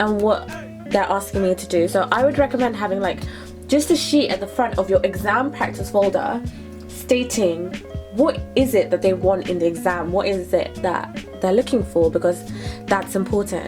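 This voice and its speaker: Someone with a British accent talks at a moderate pace while music plays in the background. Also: woman. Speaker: student. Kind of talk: casual talk to camera.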